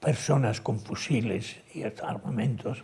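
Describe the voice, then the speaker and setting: A man talks at a medium pitch. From Spain, Ciudad Real (La Mancha). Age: 90s (born 1930). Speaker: retired theology professor. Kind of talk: TV interview.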